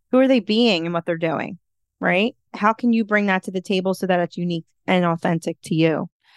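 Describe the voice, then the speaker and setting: A woman with an American accent and an unremarkable speaking voice talks at a fairly quick pace and a medium pitch. The sound is dry and close with no echo, over a quiet background. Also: ordinary pitch variation. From Philadelphia, US. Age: 30s. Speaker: life coach and podcaster. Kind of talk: interview conversation.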